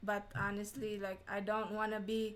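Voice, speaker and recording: This woman has a fairly high pitch and speaks with a Filipino accent. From Philippines. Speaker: vlogger. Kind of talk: livestream reaction chat. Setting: livestream.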